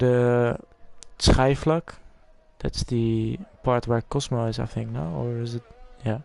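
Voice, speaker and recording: A man with a Dutch accent talks very slowly with long, frequent pauses, his medium-pitched voice showing ordinary pitch variation amid noticeable background noise. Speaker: esports race commentator. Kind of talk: live commentary.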